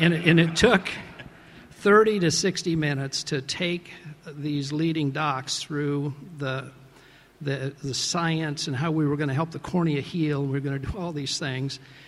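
Fairly slow and fairly even in intonation, a man speaks at a fairly high pitch. He has a normal speaking voice. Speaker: venture capital investor, interviewer. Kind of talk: interview on stage, questioning an honoree. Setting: award ceremony with audience.

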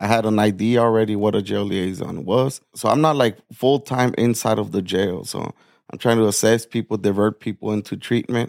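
In a plain, everyday voice, a man speaks at a moderate pace and fairly low pitch with fairly even intonation, the sound dry and close with no echo. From Nogales, Arizona (US/Mexico border town). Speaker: peer support specialist and jail liaison. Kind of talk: interview sharing personal recovery testimony.

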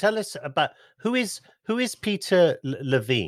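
A man speaks with a British accent, his pitch swinging very widely. The recording is very clean, with a silent background. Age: 50s. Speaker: podcast host. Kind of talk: interview. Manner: halting.

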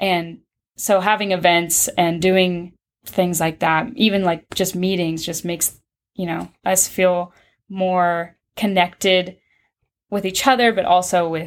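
A woman with an American accent and a plain, everyday voice speaks fairly slowly at a medium pitch with fairly even intonation, on a very clean recording with a silent background. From Pittsburg, Kansas, US. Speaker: university student, student organization president. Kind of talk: interview. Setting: office on campus.

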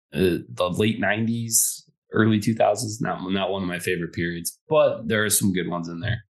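Over a quiet background, a man with an American accent speaks in a plain, everyday voice, with fairly low pitch, ordinary pitch variation and a moderate pace. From Detroit, Michigan. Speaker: podcast co-host. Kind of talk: casual chat.

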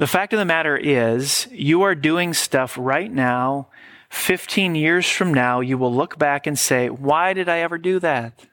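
A man with an unremarkable speaking voice, fairly high pitch, a fairly slow pace and very even loudness, in a very clean recording with a silent background. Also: ordinary pitch variation. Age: 40s. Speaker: pastor. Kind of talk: sermon.

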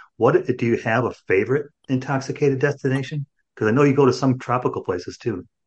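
Speaking very fast with a somewhat breathy, medium-pitched voice, a man with an American accent uses ordinary pitch variation. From Chicago, US Midwest. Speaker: podcast host. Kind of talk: casual chat. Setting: video call.

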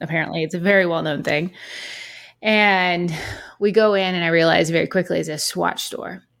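Fairly low for a woman, her voice is an unremarkable speaking voice delivered at a moderate pace. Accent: American. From North Carolina. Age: 40s. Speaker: watch influencer. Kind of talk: casual chat.

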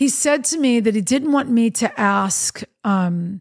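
A somewhat breathy woman's voice, fairly high in pitch, with lively intonation. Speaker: podcast host and worship singer. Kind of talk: reflective solo talk with faith message. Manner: conversational, reflective, with filler words.

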